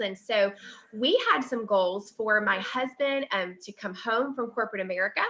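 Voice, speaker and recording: With a Southern US accent, a woman speaks at a fairly high pitch in a bright, sharp tone with ordinary pitch variation. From US South. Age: 30s. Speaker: network marketing distributor. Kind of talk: testimony. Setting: livestream webinar. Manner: casual, many fillers.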